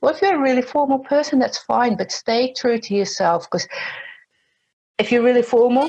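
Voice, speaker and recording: A woman speaks with vocal fry. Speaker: LinkedIn trainer. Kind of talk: interview. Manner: fast.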